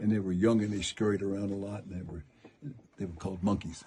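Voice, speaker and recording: Somewhat breathy male voice, fairly low in pitch, dark and mellow in tone, with an American accent. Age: 80s+. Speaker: mine tour guide. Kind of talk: guided tour talk. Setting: inside a mine with tour group. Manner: animated.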